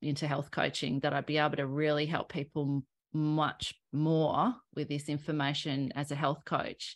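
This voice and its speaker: Someone with an Australian accent speaks at a moderate pace over a quiet background. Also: woman. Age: 40s. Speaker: health coach and personal trainer. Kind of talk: interview. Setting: video call. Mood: reflective, earnest. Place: home room. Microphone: studio mic.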